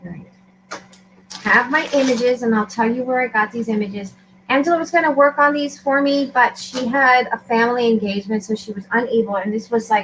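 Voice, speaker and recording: Noticeable background noise sits behind a woman's voice. She speaks at a fairly high pitch and a fairly quick pace. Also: ordinary pitch variation. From Puerto Rican heritage. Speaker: crafter. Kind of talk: tutorial.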